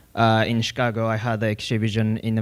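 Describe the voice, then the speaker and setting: A man's medium-pitched voice in a Japanese accent, monotone and flat, on a very clean recording with a silent background. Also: dry, close sound with no echo. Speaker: public artist. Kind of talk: artist talk. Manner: halting.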